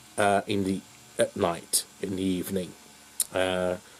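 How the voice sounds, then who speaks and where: Noticeable background noise is present. A man speaks with a very deep, low pitch. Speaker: YouTuber. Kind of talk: casual chat. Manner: loud; halting.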